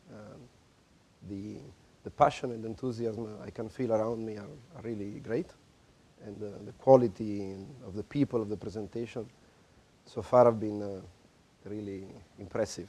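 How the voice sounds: At a moderate pace, a man with a fairly low pitch and a dark, mellow tone speaks with fairly even intonation and long, frequent pauses.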